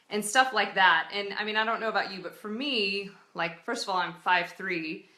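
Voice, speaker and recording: The woman's voice sits at medium pitch with a bright, sharp tone and ordinary pitch variation. Audible room echo is present. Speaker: entrepreneur giving advice. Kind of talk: casual live video talk. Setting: live stream. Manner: loud.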